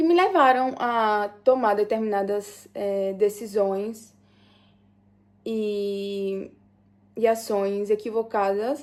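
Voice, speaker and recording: Very slowly, with long, frequent pauses, a woman speaks at a fairly high pitch and fairly even intonation in a very clean recording over a silent background. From Brazil, Sergipe (Aracaju). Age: 20s. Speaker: vlogger telling life story. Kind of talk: personal testimony, casual vlog. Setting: at home, doing nails and makeup. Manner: halting, many fillers.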